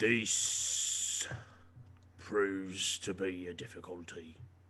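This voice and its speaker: A put-on character voice from a man, very deep and low in pitch, at a very slow pace. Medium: actual play. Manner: formal, no contractions.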